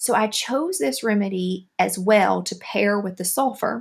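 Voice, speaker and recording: This woman speaks with a Southern US accent. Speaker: homeopathy podcaster. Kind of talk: educational monologue podcast. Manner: friendly, explanatory.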